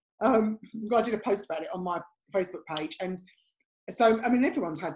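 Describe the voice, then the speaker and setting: A woman's very fast, medium-pitched speech with lively intonation, in an English accent. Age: 50s. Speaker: podcast co-host and image consultant. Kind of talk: casual chat.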